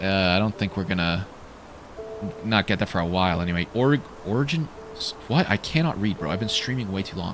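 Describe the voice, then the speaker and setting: A man with a Canadian accent speaks fairly quickly in a fairly low voice. Music plays in the background. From Canada. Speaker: gaming streamer. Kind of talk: live gameplay commentary. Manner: animated; halting.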